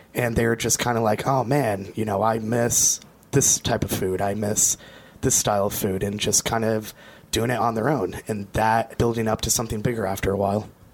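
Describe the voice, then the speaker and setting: Noticeable background noise surrounds a man with an American accent talking at a moderate pace. His medium-pitched voice keeps a monotone, flat intonation and very even loudness. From Vermont, US. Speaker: brand representative for a beer and spirits company. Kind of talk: casual chat, live interview. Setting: co-working space, live broadcast.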